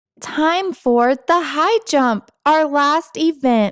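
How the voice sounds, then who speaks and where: A woman's put-on character voice, high-pitched, at a very slow pace. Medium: read story. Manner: loud, announcing.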